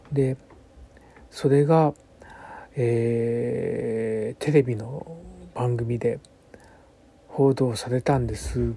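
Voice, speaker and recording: Over noticeable background noise, a man with a medium pitch speaks at a very slow pace with fairly even intonation. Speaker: bunraku puppeteer. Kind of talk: radio monologue. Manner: hesitant, many fillers.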